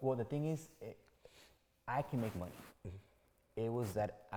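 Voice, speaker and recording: An energetic man's voice with a Spanish accent. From Mexico. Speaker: real estate agent. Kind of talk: interview answer. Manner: casual, energetic.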